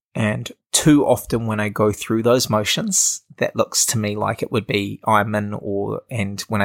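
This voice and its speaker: A man with a New Zealand accent, fairly low pitch and ordinary pitch variation. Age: 20s. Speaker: social entrepreneur. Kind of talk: casual interview. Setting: in person at host's house.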